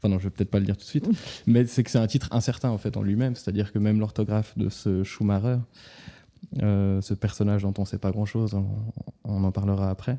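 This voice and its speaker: This man has a dark, mellow tone and a fairly low pitch. He talks at a fairly quick pace with monotone, flat intonation. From Vaud, Switzerland. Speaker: novelist. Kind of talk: author interview. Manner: hesitant, many fillers.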